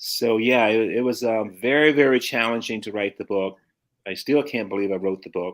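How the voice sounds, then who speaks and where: In a plain, everyday voice with an American accent, a man talks at a fairly quick pace with a medium pitch and ordinary pitch variation, in a very clean recording with a silent background. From US South. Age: 60s. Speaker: bodybuilder. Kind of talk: casual chat.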